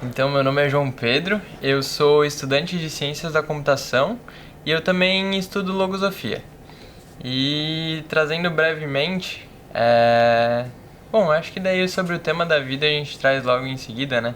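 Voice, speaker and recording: A man with a normal speaking voice talks at a fairly slow pace and fairly high pitch, with ordinary pitch variation. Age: 20s. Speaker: computer science student. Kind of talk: casual podcast conversation.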